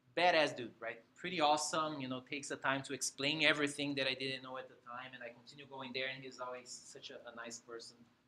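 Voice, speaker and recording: A man with a Brazilian Portuguese accent at a very fast pace, medium pitch, fairly even intonation, hardly any pauses, and big swings in loudness. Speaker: motorcycle rider sharing experience. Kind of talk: talk to a meetup group. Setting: room with live audience. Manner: casual, with fillers.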